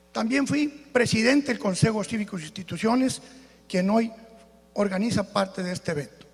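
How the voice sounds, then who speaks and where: A high-pitched man talks at a moderate speed, his pitch varying in an ordinary way, with noticeable noise in the background. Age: 60s. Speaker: political candidate. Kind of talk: political debate speech. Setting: auditorium with audience.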